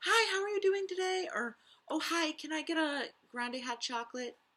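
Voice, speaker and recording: The pace is moderate. A put-on character voice carries it, set at a high pitch. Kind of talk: stranger-facing, courteous. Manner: bright, polite.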